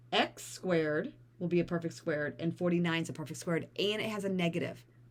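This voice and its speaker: A woman's fairly low voice at a fairly quick pace, ordinary pitch variation, and noticeable background noise behind it. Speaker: math teacher. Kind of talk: tutorial.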